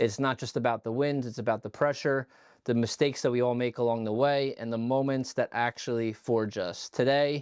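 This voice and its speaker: In a very clean recording with a silent background, an ordinary speaking voice moves at a fairly quick pace with fairly even intonation. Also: man, medium pitch for a man, dry, close sound with no echo. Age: 30s. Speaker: podcast host. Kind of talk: podcast interview.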